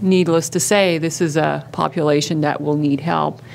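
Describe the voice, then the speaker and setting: Audible room echo surrounds a woman speaking in a very deep, low pitch. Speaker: psycho-oncology researcher and clinician. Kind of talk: conference talk. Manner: loud.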